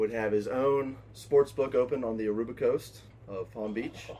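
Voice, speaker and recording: This man has a dark, mellow tone. He speaks at a moderate pace with fairly even intonation. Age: 20s. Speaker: steel factory worker and sports bettor. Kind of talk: casual chat.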